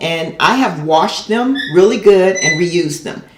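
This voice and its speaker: Noticeable background noise and audible room echo surround a woman talking at a fairly slow pace. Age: 60s. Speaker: elementary school teacher and gardening youtuber. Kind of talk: tutorial. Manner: casual, with frequent filler words.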